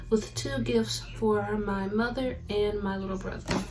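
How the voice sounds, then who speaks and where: Speaking at a moderate pace, a woman with a medium pitch and ordinary pitch variation is heard over noticeable background noise and audible room echo. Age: 20s. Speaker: lifestyle content creator. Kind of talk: casual unboxing vlog. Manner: animated.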